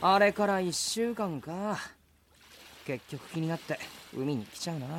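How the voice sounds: A man's put-on character voice, high-pitched and fairly bright in tone, with lively intonation at a fairly slow pace.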